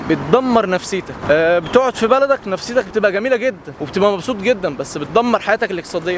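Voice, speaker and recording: A man talks loudly at a fairly quick pace, his high voice making very wide pitch swings over noticeable background noise. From Egypt. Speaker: content creator. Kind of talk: casual vlog monologue.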